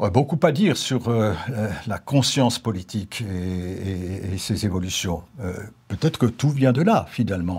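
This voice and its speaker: At a fairly slow pace, a man speaks in a somewhat breathy voice. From Alsace. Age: 70s. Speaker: retired politician. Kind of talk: interview monologue. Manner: hesitant, many fillers. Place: studio. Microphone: lapel.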